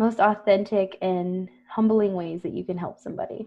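A woman with an American accent talks in a normal speaking voice at medium pitch. Her intonation is fairly even and her pace fairly slow. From South Texas, US. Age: 20s. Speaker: counselor, podcast co-host. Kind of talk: casual chat.

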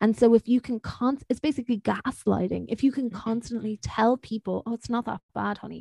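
Somewhat breathy and with hardly any pauses, a woman with an Irish accent speaks at a fairly quick pace in a fairly high pitch, the sound dry and close with no echo. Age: 20s. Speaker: podcast host. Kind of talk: casual chat.

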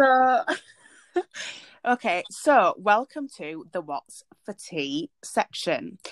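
A woman's fairly high voice with vocal fry, in a Yorkshire accent, very slow, with very wide pitch swings and big swings in loudness, dry and close with no echo, on a very clean recording with a silent background. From Leeds, Yorkshire, northern England. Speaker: podcast co-host. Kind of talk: casual chat.

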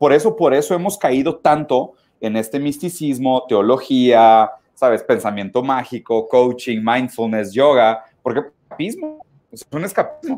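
A man talks at a fairly slow pace in a plain, everyday voice. His pitch is medium, with ordinary pitch variation. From southern Brazil (Caxias do Sul). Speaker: philosophy commentator. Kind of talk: casual interview chat.

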